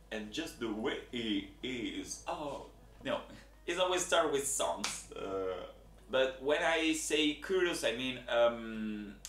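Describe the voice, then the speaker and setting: Speaking at a very slow pace with an Italian accent, a man is heard with audible room echo. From Italy. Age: 20s. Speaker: job applicant. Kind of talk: video application monologue. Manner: halting, with many fillers.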